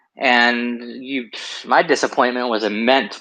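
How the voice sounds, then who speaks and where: A loud man's voice, medium in pitch, bright and sharp in tone, with monotone, flat intonation. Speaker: livestream guest, amateur vocal cover singer. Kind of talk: casual chat. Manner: halting.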